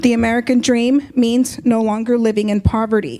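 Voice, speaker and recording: With a Spanish accent, a woman speaks at a moderate pace in a high pitch, her intonation fairly even. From Compton, California. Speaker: justice of the peace. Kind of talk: public speech.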